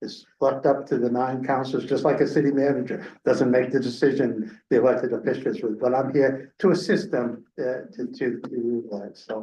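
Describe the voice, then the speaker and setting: In a room with audible echo, a man at a medium pitch talks at a moderate pace with hardly any pauses and ordinary pitch variation. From Maine (Bangor). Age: 70s. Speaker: hiring consultant, retired city manager. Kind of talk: public meeting talk. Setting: public meeting. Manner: halting, many fillers.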